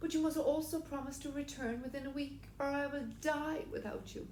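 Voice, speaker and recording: A woman's put-on character voice at a moderate pace, with clear background noise. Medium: read story.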